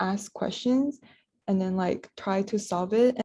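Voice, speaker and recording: A somewhat breathy, dark, mellow tone at a fairly slow pace, on a very clean recording with a silent background. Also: woman. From Malaysia. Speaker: podcast co-host, university student. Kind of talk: casual chat.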